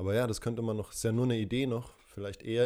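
At a very fast pace, a man talks in a dark, mellow tone with fairly even intonation. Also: very clean recording, silent background. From Franconia, Germany (Würzburg). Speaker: actor and podcast co-host. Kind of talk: casual chat.

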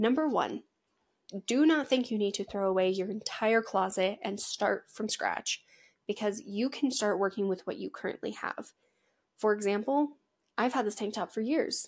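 A woman with an American accent speaks in a fairly high voice, her pitch varying in an ordinary way. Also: moderate pace. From Washington state, US. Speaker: podcast host, agriculture and western fashion. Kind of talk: casual solo podcast talk.

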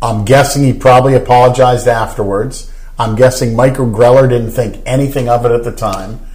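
At a fairly quick pace, a man with a medium pitch speaks in a somewhat breathy, monotone, flat voice. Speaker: golf guest and commentator. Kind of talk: casual chat.

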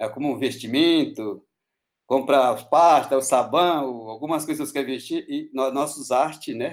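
A man talks at a moderate pace with fairly high pitch and fairly even intonation. His recording is very clean, the background silent. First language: Hatxa Kuin (Pano language) (speaking Portuguese). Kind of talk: interview. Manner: halting.

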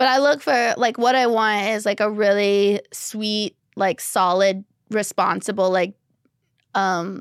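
On a very clean recording with a silent background and a dry, close sound without echo, a woman speaks very slowly at medium pitch with ordinary pitch variation and long, frequent pauses. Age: 30s. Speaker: stand-up comedian. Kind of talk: casual chat. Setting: studio. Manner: laughs often.

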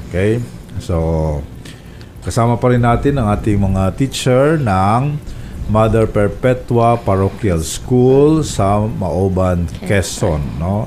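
Very slow speech with very wide pitch swings and very even loudness, over noticeable background noise. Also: man, fairly low pitch for a man. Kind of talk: radio talk show. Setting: radio studio.

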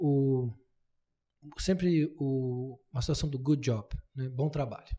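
Very slowly, a man with a fairly high pitch and a dark, mellow tone speaks with ordinary pitch variation. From Brazil, interior of São Paulo state. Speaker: podcast host and lawyer. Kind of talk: casual interview chat.

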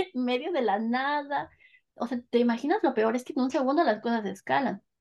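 With a quiet background, a woman speaks with lively intonation. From Mexico, northern State of Mexico. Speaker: Mexican expat. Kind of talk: casual interview.

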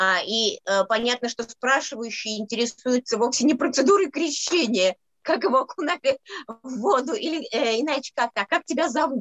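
Her high voice moves with lively intonation as the woman talks at a moderate pace. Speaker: scholar co-presenter. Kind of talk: academic seminar lecture.

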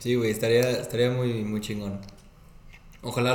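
At a moderate pace, a man speaks at medium pitch with monotone, flat intonation and audible room echo. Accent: Mexican. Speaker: podcast co-host. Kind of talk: casual chat.

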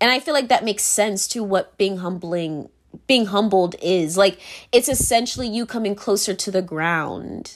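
In a very clean recording with a silent background, a woman speaks in an unremarkable speaking voice at medium pitch with ordinary pitch variation. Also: moderate pace. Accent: American. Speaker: podcaster. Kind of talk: casual solo monologue. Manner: casual, filler-heavy, laughs often.

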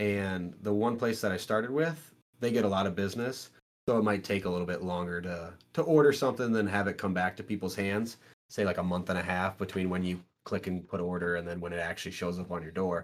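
Very deep and low, a man's voice rushes along at a very fast pace in a Midwestern American accent. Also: ordinary pitch variation. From Iowa (Strawberry Point). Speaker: gym owner and powerlifter. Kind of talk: casual chat.

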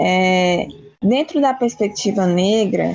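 A woman at a very slow pace with ordinary pitch variation, over noticeable background noise. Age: 20s. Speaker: philosophy student. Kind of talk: casual interview about philosophy. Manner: hesitant, many fillers.

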